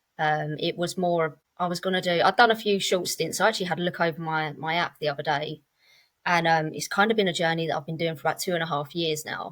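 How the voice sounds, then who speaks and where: Very fast and fairly low-pitched, a woman talks in a southern English accent with fairly even intonation. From England, Cambridge area. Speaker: podcast guest in sobriety. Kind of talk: casual interview chat. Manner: relaxed, conversational with fillers.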